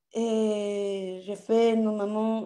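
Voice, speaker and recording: A woman speaks in a strong Latin American accent with a dark, mellow tone. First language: Spanish (speaking French). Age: 30s. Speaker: audience participant. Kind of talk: casual Q&A. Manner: halting.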